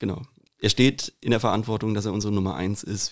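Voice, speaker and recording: A fairly low-pitched man at a very fast pace. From Hesse, Rüsselsheim. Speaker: podcast host. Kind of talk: casual chat; quote reading.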